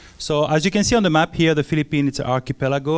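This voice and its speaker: This man talks with a French accent and ordinary pitch variation. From France. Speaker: missionary. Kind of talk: church mission presentation. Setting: church with audience. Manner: halting, many filler sounds.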